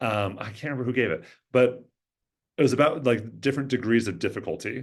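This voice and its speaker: A man with an American accent speaks at a very fast pace and a medium pitch, showing ordinary pitch variation and vocal fry. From US Pacific Northwest, Everett, Washington. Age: 40s. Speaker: social work professor and therapist. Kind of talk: interview conversation. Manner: many fillers and restarts.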